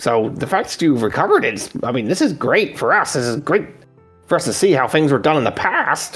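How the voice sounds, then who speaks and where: Doing a put-on character voice, a man talks at a fairly quick pace with very wide pitch swings as faint music plays in the background. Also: fairly high pitch for a man. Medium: actual play. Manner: casual, friendly, slightly cautious.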